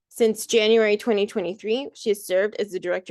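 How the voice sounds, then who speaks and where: Over a quiet background, a woman talks fairly quickly in a fairly high voice with fairly even intonation, the sound dry and close with no echo. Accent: American. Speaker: workshop host and organizer. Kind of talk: live video workshop moderation.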